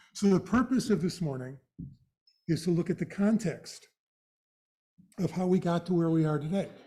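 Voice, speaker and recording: Speaking at a fairly quick pace, a man with a dark, mellow tone sounds somewhat breathy and uses ordinary pitch variation. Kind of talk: lecture.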